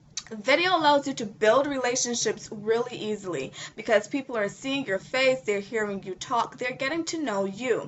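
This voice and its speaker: Over noticeable background noise, a high-pitched woman talks with lively intonation and hardly any pauses. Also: moderate pace. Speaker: online marketing coach. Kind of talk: tutorial.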